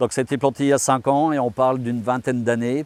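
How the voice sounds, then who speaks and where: This man speaks at a fairly quick pace. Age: 60s. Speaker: farmer. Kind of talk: interview. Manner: hesitant, with frequent fillers.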